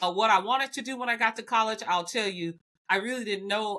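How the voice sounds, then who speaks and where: Speaking very fast in a Southern US accent, a woman has a bright, sharp tone, medium pitch, and ordinary pitch variation. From US South, Alabama. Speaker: biotech executive. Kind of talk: podcast interview.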